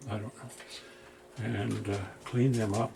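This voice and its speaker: A man speaks with ordinary pitch variation and a moderate pace, noticeable background noise behind him. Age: 70s. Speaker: retired electronics repairman, video hobbyist. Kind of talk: workbench repair tutorial. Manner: casual, rambling with self-talk.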